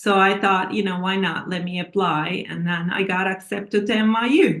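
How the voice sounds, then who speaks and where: The speaker has a Turkish accent and fairly even intonation. The pace is moderate. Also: woman, medium pitch for a woman. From Turkey. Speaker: author and scientist. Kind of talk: interview. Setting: TV interview.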